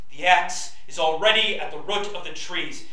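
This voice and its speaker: A man speaks in a room with audible echo. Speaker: pastor. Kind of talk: scripture reading. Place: church.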